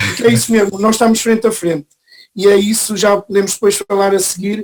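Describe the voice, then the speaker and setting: Fairly quick speech from a man, high-pitched, with fairly even intonation. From northern Portugal. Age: 50s. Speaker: real estate association president. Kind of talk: interview. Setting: video call from home.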